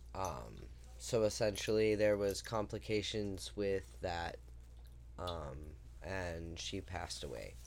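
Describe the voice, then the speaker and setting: With an American accent, a man speaks at a very slow pace in a very deep, low voice with very wide pitch swings, and audible room echo can be heard. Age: 30s. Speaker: podcast co-host. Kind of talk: casual chat.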